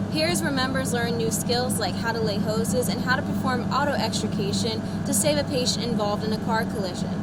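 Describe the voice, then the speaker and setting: A woman talks at a very fast pace with hardly any pauses and very even loudness. Noticeable background noise and audible room echo fill the recording. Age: 20s. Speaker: student journalist. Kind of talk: news report. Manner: formal.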